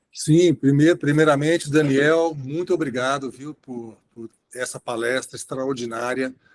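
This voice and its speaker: In an unremarkable speaking voice, a man talks at a fairly slow pace and fairly high pitch, with fairly even intonation, big swings in loudness, and a dry, close sound with no echo. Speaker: interventional cardiologist, moderator. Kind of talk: webinar Q&A discussion.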